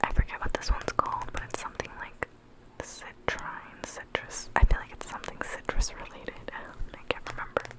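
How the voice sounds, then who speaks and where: A woman is whispering at a moderate pace over noticeable background noise. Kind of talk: ASMR rambling with tapping. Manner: whispered; soft-spoken, relaxed.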